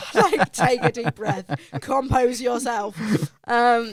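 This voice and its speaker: Fairly high in pitch, a woman speaks at a fairly slow pace. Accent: Essex. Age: 20s. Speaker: singer. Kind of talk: casual chat.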